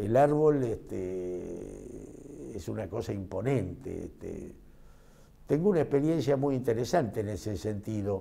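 A man speaks at a very slow pace in a dark, mellow tone with lively intonation. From Argentina, Mercedes, Buenos Aires province; Buenos Aires province, Argentina. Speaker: physician and medical professor; interviewee. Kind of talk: interview; interview answer. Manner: hesitant, frequent filler este. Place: classroom. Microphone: lapel.

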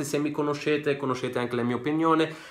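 A man's animated tone at a fairly high pitch, with ordinary pitch variation and a fairly quick pace. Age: 20s. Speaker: football YouTuber. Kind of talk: casual vlog monologue. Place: home room. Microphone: phone near.

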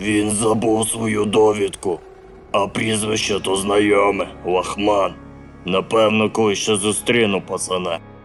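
A man puts on a character voice, fairly low in pitch and monotone with flat intonation. He talks at a fairly slow pace over clear music in the background. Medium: fan dub.

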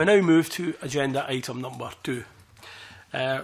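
The man speaks fairly slowly, keeping his intonation fairly even. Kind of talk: formal meeting chairing. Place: meeting room. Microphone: podium.

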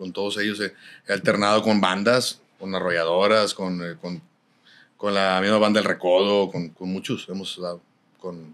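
A man with a fairly low pitch talks in a flat monotone while his loudness swings widely. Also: moderate pace. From Nuevo León, Mexico. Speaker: norteño musician; podcast guest. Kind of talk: casual interview chat. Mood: relaxed, storytelling, joking. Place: studio. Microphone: studio mic.

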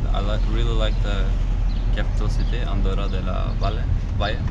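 A man at a fairly quick pace over loud background noise. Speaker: travel vlogger. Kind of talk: casual vlog chat. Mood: relaxed, thankful. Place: car.

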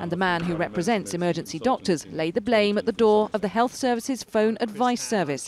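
Speaking with lively intonation and hardly any pauses, a woman has a fairly low pitch and an unremarkable speaking voice. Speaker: TV news reporter. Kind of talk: TV news report narration.

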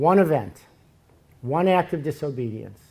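The intonation is lively and the voice somewhat breathy. The pace is fairly slow. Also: man. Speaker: preacher. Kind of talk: sermon. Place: church. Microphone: podium.

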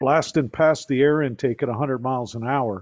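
Over a quiet background, a man talks at a moderate pace, his pitch varying in an ordinary way. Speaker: guest. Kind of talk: presentation with anecdotes. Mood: relaxed, friendly. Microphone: video call.

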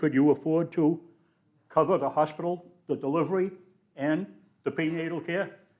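Speaking at a moderate pace, a man with a Boston accent has a dark, mellow tone. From New England (Boston). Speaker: public commenter. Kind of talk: public comment at council meeting.

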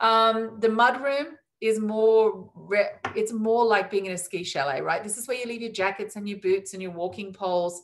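With an Australian accent, a woman talks at a fairly high pitch with ordinary pitch variation and big swings in loudness, the background quiet. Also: moderate pace. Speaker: cruise line sales executive. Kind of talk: webinar presentation. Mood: warm, enthusiastic sales tone. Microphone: video call.

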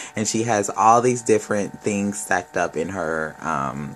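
A man's fairly low voice at a fairly slow pace, lively intonation, and music in the background. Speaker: tarot reader. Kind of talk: tarot reading commentary. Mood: warm, upbeat. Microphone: phone near.

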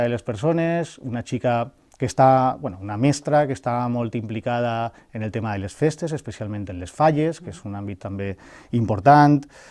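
A man talks at a moderate pace with ordinary pitch variation and big swings in loudness. The background is quiet. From Valencia region, Spain (Algemesí); Valencia region, Spain. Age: 40s. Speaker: mayoral candidate and university lecturer; election candidate. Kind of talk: interview. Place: studio. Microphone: lapel.

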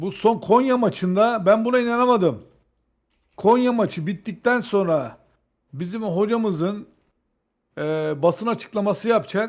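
A man with a high pitch, talking at a fairly slow pace with long, frequent pauses. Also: ordinary pitch variation. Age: 40s. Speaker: football fan commentator. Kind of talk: casual debate.

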